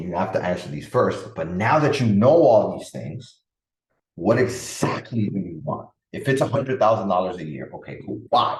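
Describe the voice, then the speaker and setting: With lively intonation and an animated tone, a man talks at a moderate pace in a medium-pitched, somewhat breathy voice, with audible room echo around him. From Dominican Republic, raised in the Bronx, New York. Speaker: podcast host, parenting and productivity coach. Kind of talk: solo podcast talk.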